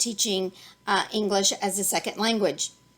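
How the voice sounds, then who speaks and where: A fairly high-pitched woman's voice with a Texas accent and a bright, sharp tone. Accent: Texas drawl. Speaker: online ESL teacher and YouTuber. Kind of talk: tutorial. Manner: halting, many fillers.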